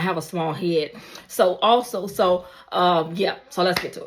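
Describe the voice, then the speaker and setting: A fairly low-pitched woman's voice with vocal fry and fairly even intonation. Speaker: beauty vlogger. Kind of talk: casual vlog talk. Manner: casual, filler-heavy.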